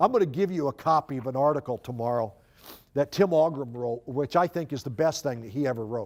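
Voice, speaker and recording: A man talks very fast in an American accent. His pitch is fairly high, with ordinary variation. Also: very clean recording, silent background. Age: 60s. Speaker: youth ministry speaker. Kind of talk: conference talk. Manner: halting.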